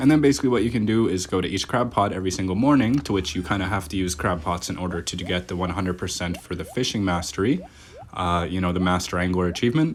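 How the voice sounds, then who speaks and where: In a Canadian Maritime accent, a man with a very deep, low pitch talks at a very fast pace with lively intonation over noticeable background noise. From Nova Scotia, Canada. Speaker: gaming YouTuber. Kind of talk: gameplay commentary. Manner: casual, chatty.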